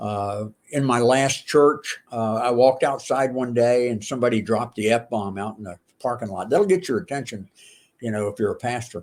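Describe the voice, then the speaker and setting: Here a man at medium pitch speaks in an unremarkable speaking voice. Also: ordinary pitch variation, moderate pace. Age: 60s. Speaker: pastor and former pro wrestler. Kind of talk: casual chat. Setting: podcast interview.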